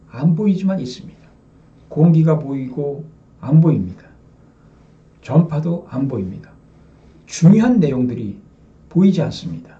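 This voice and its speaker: The voice is dark and mellow, somewhat breathy, with lively intonation. Long, frequent pauses break up the speech, and room echo is audible. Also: man. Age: 60s. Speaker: religious lecturer. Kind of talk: sermon. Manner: addresses audience with rhetorical questions.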